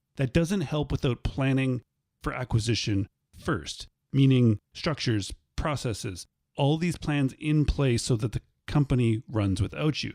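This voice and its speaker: A man with a Canadian accent speaks in a plain, everyday voice with ordinary pitch variation, in a dry, close sound with no echo on a very clean recording with a silent background. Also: medium pitch for a man, fairly slow pace. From Canada. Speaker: podcast host. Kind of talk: podcast episode wrap-up. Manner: casual, conversational.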